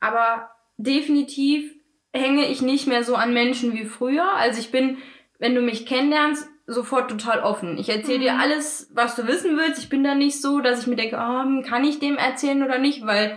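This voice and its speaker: At a moderate pace, a woman talks in a high voice with ordinary pitch variation. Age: 20s. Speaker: podcast co-host. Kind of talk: casual chat.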